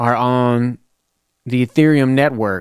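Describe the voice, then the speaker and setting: A man with a Tennessee accent, speaking at a very slow pace. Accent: Southern US (Tennessee). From US South, Lebanon, Tennessee. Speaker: rapper and podcast host. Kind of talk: casual monologue. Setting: home studio.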